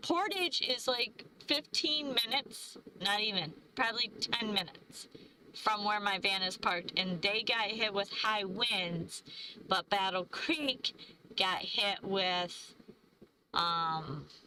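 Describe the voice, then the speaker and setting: Lively intonation and very even loudness mark this woman's medium-pitched voice. She goes at a very slow pace over noticeable background noise. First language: not English. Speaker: van-life travel vlogger. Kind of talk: live stream chat. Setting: live stream. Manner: halting, stumbling over words.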